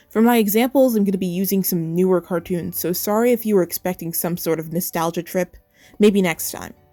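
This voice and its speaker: A woman's medium-pitched voice at a fairly quick pace, with ordinary pitch variation and music in the background. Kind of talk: cartoon commentary video essay.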